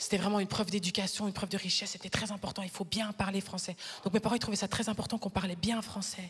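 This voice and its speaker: A woman speaks at a very fast pace in an animated tone. Her pitch is medium, and noticeable background noise sits behind her. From Flanders, Belgium. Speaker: stand-up comedian. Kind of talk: stand-up. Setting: stage with audience.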